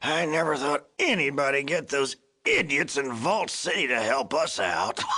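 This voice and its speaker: Doing a put-on character voice in a rural American accent, a man speaks at a moderate pace with a fairly high pitch. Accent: rural American folksy. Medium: video game. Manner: chuckling, folksy, rambling.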